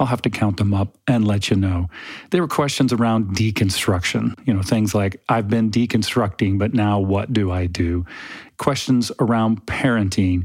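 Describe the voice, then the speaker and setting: A man with an ordinary speaking voice talks at a moderate pace and a fairly low pitch. His loudness stays very even, with ordinary pitch variation. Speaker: podcast host and theology researcher. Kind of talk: casual monologue. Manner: chatty, humorous.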